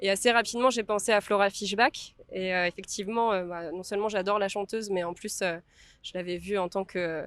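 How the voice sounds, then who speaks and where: A woman at medium pitch speaks at a fairly quick pace with fairly even intonation, in a dry, close sound with no echo on a very clean recording with a silent background. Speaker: film director. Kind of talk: interview. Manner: halting with many fillers.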